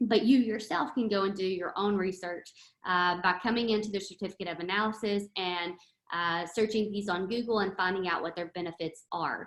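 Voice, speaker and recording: Speaking at medium pitch and a moderate pace, a woman uses a normal speaking voice with fairly even intonation. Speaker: product trainer. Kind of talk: online training session.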